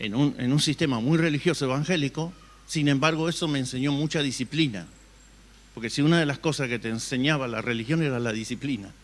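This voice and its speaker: An unremarkable speaking voice from a man, fairly high in pitch, at a fairly quick pace with ordinary pitch variation. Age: 60s. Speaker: pastor. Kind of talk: sermon.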